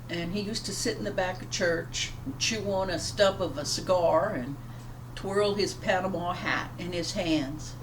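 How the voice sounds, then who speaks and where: With an American accent, a woman speaks at a moderate pace and a fairly low pitch with lively intonation, amid audible room echo and noticeable background noise. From US South, Louisiana (Plaquemines Parish). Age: 60s. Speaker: pastor. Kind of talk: devotional talk. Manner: halting.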